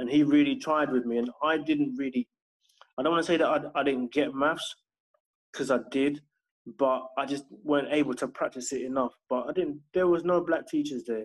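In a London accent, a man speaks with a fairly high pitch. His intonation stays fairly even. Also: moderate pace. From southwest London. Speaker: homeschooling parent and education consultant. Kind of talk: casual interview.

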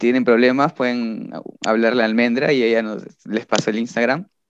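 A man's voice at medium pitch. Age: 20s. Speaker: musician, band vocalist. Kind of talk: casual chat.

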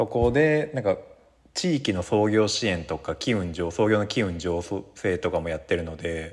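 A man with a plain, everyday voice, a fairly low pitch, lively intonation and a moderate pace, against a quiet background. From Japan, Yamanashi. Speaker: workshop facilitator and university lecturer. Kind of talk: casual interview.

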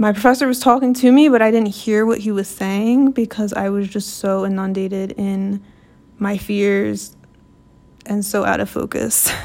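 A woman with a normal speaking voice, medium in pitch, keeps a moderate pace and fairly even intonation. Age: 20s. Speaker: podcast host and law student. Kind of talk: personal monologue. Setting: recording alone at night. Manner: casual, conversational.

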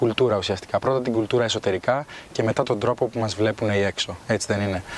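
The man talks at a very fast pace with ordinary pitch variation over noticeable background noise. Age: 20s. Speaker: podcast host. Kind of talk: interview.

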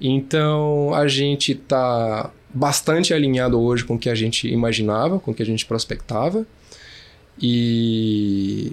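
At a fairly slow pace, a man uses a normal speaking voice with a medium pitch, very even loudness and ordinary pitch variation. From Brasília, Brazil. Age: 30s. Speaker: startup co-founder. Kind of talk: interview.

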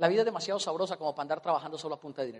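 Speaking in an animated tone, a man with a high pitch keeps to ordinary pitch variation. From Colombia. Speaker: motivational speaker. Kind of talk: motivational seminar talk.

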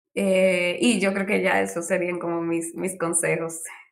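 A woman talks at a fairly slow pace in an unremarkable speaking voice. Her pitch sits in the medium range. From Dominican Republic. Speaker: UX designer, former architect. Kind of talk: interview.

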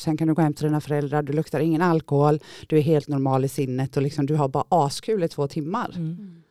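A woman talks at a very fast pace in a very deep, low voice with a dark, mellow tone. The recording is very clean, dry and close, with a silent background and no echo. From Gothenburg area, Sweden. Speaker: former drug user sharing her story. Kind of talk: testimony. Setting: studio.

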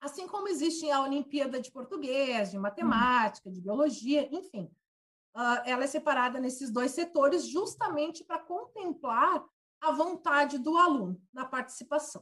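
A woman's bright, sharp voice with very wide pitch swings at a moderate pace. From Brazil, Santa Catarina (Lages). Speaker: physics teacher. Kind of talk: interview.

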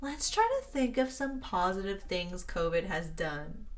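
A woman with an American accent at a fairly slow pace, with audible room echo. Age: 20s. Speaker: podcast host, college student. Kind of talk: casual chat.

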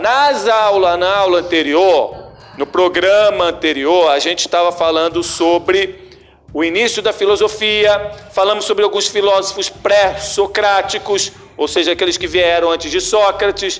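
Noticeable background noise sits behind a man speaking at a moderate pace in a high pitch with ordinary pitch variation. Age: 40s. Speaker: philosophy teacher. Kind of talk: classroom lesson. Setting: classroom with students. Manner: animated.

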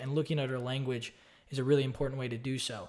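This man has an American accent and a fairly high pitch. He talks very fast on a very clean recording with a silent background. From Austin, Texas. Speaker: online course creator and real estate investor. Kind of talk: casual solo video talk about a book. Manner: casual, with fillers and repeats.

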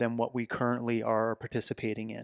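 An ordinary speaking voice moves at a fairly quick pace in a very clean recording with a silent background and a dry, close sound with no echo. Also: man. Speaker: fitness coach and company founder. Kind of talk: casual chat.

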